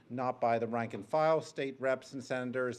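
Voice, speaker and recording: The speaker has a Rhode Island accent. The pitch varies in an ordinary way. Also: man. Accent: New England (Rhode Island). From Rhode Island, Providence. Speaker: public commenter, bus rider activist. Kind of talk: public hearing testimony. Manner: hesitant, frequent filler ums.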